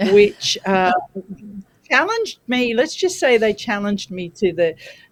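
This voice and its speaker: A woman with an Australian accent speaks at a fairly slow pace, her fairly high pitch moving in very wide swings. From Australia, New South Wales. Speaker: parenting specialist. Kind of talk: interview. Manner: deliberately slow.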